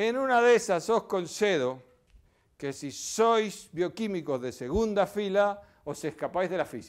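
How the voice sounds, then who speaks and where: The recording is very clean, with a silent background. A man with a high pitch speaks very slowly, with long, frequent pauses. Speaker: physics professor. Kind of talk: public lecture. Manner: animated.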